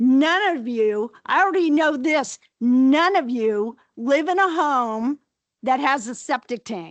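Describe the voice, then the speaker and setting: Using a high pitch and lively intonation, a woman speaks at a very slow pace in a dry, close sound with no echo and a quiet background. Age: 70s. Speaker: public commenter at health board meeting. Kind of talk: public comment. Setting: public board meeting. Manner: heated.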